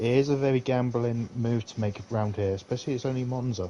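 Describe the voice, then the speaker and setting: A man speaks at a moderate pace. He has a southern English accent. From southern England. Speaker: sim racing co-commentator. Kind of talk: live commentary.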